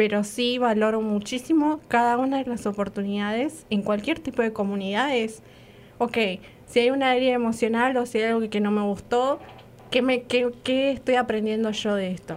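A woman with an Argentine accent talks at a moderate pace, her fairly high pitch showing ordinary variation. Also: very clean recording, silent background. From Argentina. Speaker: radio co-host. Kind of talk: casual chat.

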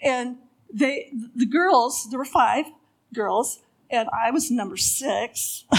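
With long, frequent pauses, a woman with a high pitch speaks at a very slow pace and ordinary pitch variation. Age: 70s. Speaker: storyteller and sign language interpreter. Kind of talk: testimony. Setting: stage with audience at church event. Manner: halting, with repeated words.

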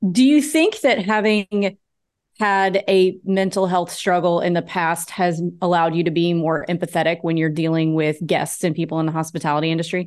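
A woman with an unremarkable speaking voice, fairly low in pitch, talks at a moderate pace. Her pitch variation is ordinary, and the background is quiet. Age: 30s. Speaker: podcast host and real estate agent. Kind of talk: interview.

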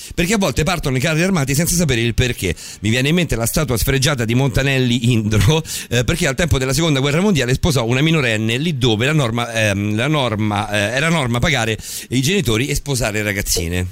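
Very fast and animated, a man speaks at a medium pitch with lively intonation and very even loudness. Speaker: radio host. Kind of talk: late-night radio chat. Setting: studio. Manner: animated, joking.

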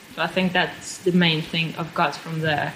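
A woman with a Russian accent speaks fairly quickly in a fairly low pitch over noticeable background noise. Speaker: pastry chef. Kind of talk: interview.

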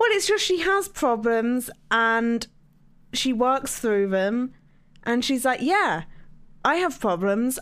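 A woman speaks at a fairly slow pace with lively intonation. Her pitch is fairly high.

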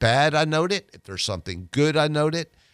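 The sound is dry and close with no echo. The recording is very clean, with a silent background. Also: man. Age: 60s. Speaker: personal injury lawyer. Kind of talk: radio guest interview. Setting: radio studio. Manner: halting, repeats words.

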